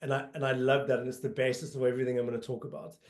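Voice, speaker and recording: The speaker is a man with a South African accent. His pitch is fairly high. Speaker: marketing agency executive. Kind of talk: webinar presentation. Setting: online colloquium. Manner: frequent fillers (um, uh).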